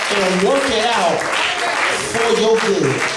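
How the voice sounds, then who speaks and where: Amid crowd noise and audible room echo, a man speaks at a very slow pace. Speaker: minister. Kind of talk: sermon. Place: church. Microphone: podium.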